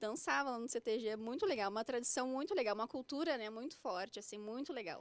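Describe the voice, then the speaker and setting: A woman speaks in a high voice at a very fast pace. Her intonation is lively. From Porto Alegre, southern Brazil. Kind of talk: interview testimony. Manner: stammering at times.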